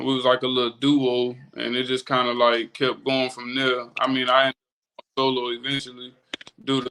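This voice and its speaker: Medium-pitched male voice with a Florida accent, bright, sharp tone, monotone, flat intonation and a moderate pace. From Florida panhandle (Milton, near Pensacola). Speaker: rapper. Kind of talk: casual interview. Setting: livestream.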